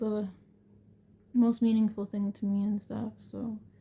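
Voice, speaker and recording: Soft-spoken and somewhat breathy, a woman speaks at a fairly high pitch with a dark, mellow tone. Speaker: homemaker sharing her faith testimony. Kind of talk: testimony. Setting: at home late at night. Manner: halting.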